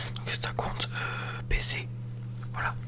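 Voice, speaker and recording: A man talks with noticeable background noise in the clip. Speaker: ASMR video creator. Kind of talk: casual gameplay commentary. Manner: whispered, calm, relaxing.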